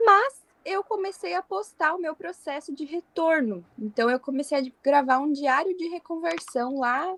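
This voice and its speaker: Lively intonation marks this woman's speech, captured dry and close with no echo in a very clean recording with a silent background. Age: 20s. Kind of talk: podcast interview.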